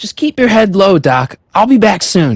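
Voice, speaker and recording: A man puts on a high-pitched character voice with very wide pitch swings. The sound is dry and close with no echo. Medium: video game. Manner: casual, friendly.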